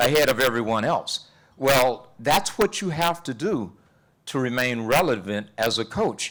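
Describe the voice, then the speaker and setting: A man's moderately paced speech in a Texas accent, with very wide pitch swings. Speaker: relationship and life coach. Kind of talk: panel discussion. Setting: university event with audience. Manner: animated.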